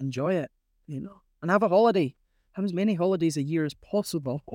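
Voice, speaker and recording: A woman with a northern Scottish accent at a fairly quick pace and lively intonation, dry and close with no echo, in a very clean recording with a silent background. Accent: northern Scottish (Caithness). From Scotland, Caithness. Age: 40s. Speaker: crofter. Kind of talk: interview.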